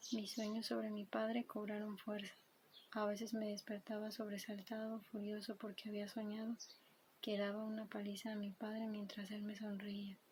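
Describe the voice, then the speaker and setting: A soft-spoken voice against noticeable background noise. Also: moderate pace. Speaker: ASMR creator. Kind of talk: book reading.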